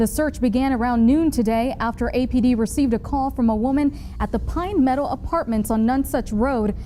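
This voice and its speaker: Through noticeable background noise, a woman speaks at a high pitch. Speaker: news anchor. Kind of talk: TV news anchoring.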